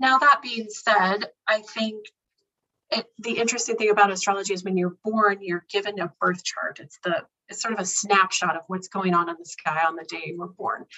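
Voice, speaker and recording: At a moderate pace, a woman at medium pitch uses an ordinary speaking voice with ordinary pitch variation and big swings in loudness. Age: 40s. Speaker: astrologer and intuitive coach. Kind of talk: casual interview.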